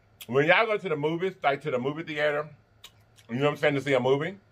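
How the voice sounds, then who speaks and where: Ordinary pitch variation at a very fast pace. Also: man. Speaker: mukbang host. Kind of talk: casual vlog chat while eating.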